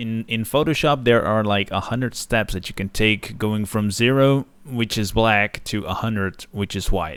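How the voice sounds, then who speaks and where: Moderate pace with hardly any pauses, in a Dutch accent, ordinary pitch variation, and a very clean recording with a silent background. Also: man, fairly low pitch for a man. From Netherlands. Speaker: digital art teacher. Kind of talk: tutorial. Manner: casual with frequent filler uhs.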